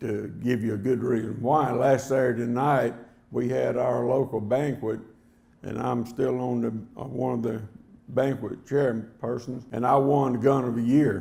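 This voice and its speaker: With audible room echo, a man talks at a fairly slow pace in a medium pitch with monotone, flat intonation. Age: 70s. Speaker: hunting game call maker, award recipient. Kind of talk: acceptance speech. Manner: plain, unpolished delivery.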